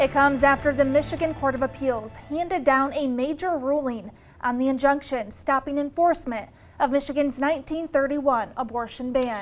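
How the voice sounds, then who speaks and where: With music in the background, a high-pitched woman speaks at a fairly quick pace with fairly even intonation. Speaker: news anchor. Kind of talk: local TV news anchor delivery.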